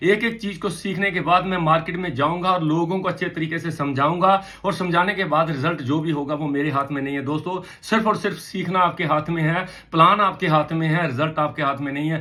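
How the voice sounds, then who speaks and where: A man's high-pitched voice at a moderate pace. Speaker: motivational trainer. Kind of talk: motivational talk. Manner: animated.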